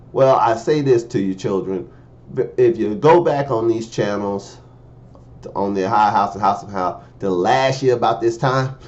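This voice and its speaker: A man with an animated tone speaks fairly slowly at medium pitch, his pitch varying in an ordinary way, with audible room echo. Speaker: preacher. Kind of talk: sermon.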